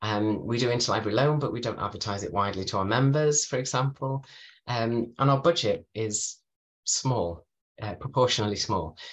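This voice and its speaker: A man speaks at a medium pitch in a Merseyside accent. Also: ordinary pitch variation, moderate pace. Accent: northern English, Merseyside. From northern England (Merseyside); northern England. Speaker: librarian; guest. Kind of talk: webinar presentation. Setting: video call from home. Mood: friendly, calm. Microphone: webcam.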